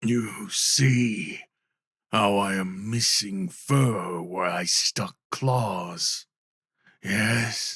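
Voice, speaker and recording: A put-on character voice from a man, raspy and fairly low, at a very slow pace. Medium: solo performance. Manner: broken, simple speech; teasing, warm.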